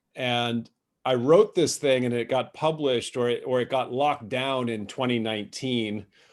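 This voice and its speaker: A man's unremarkable speaking voice with a North American accent, medium pitch, ordinary pitch variation and a moderate pace. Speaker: author and cross-cultural business speaker. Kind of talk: webinar presentation. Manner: informal, many fillers and repetitions.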